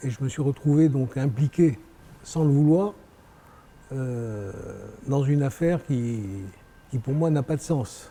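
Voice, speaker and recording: At a very slow pace, a man speaks with long, frequent pauses. His pitch is fairly high. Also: ordinary pitch variation. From France. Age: 60s. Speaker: real estate developer. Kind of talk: interview. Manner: hesitant, many fillers and repetitions.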